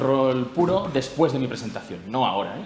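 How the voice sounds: A man speaks at a moderate pace and a medium pitch, with lively intonation. Audible room echo is present.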